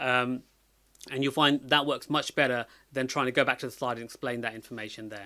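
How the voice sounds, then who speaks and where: On a very clean recording with a silent background, a man talks very fast in a bright, sharp tone. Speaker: data analytics educator. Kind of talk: tutorial. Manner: many fillers and hesitations.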